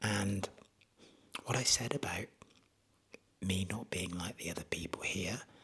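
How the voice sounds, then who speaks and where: With an English accent, a man whispers. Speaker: travel vlogger. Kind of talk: casual vlog monologue. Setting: outdoors; retreat bedroom at night. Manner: hesitant with fillers; whispering.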